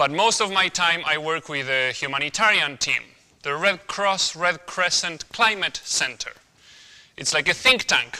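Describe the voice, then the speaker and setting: A man speaks with an Argentine accent. His pitch is high. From Argentina. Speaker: humanitarian researcher. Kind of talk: guest lecture.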